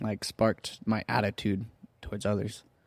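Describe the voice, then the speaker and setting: A man with a Southern Californian accent, medium pitch and fairly slow pace, in a dry, close sound with no echo and a very clean, silent background. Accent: Southern California American. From Orange, California. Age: 20s. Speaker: church youth ministry worker. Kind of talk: casual interview chat.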